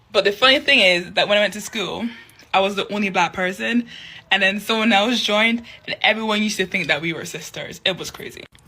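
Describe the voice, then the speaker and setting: A woman at medium pitch, talking at a very fast pace with big swings in loudness, over noticeable background noise. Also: ordinary pitch variation. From Scotland, Edinburgh (arrived 1998). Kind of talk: casual testimony.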